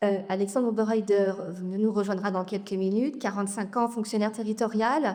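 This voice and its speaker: A woman talks at a moderate pace in an ordinary speaking voice. Her pitch is medium and her intonation fairly even. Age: 40s. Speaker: local election candidate. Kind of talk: campaign speech at public meeting. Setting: public meeting with audience.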